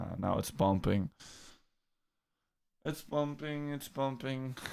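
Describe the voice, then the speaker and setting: A man's very slow speech at medium pitch, with ordinary pitch variation and a dark, mellow tone. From Netherlands. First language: Dutch. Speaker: crypto trading streamer. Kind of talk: live stream chat. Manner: animated.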